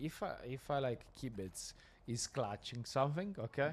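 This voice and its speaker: Lively intonation at a fairly slow pace, in an Italian accent. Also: man. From Italy. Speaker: esports co-caster. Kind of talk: live esports commentary. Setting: LAN event with live crowd.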